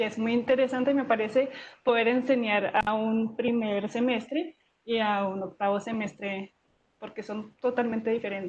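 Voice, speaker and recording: Somewhat breathy, a woman's voice moves with fairly even intonation. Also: fairly high pitch for a woman, moderate pace. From foreign, not Colombian. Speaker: geosciences professor. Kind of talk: interview. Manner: halting, many fillers.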